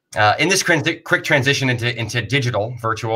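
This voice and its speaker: The man's tone is bright and sharp. Pitch moves in an ordinary way as he talks. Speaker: festival organizer host. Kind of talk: event introduction speech. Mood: warm, grateful.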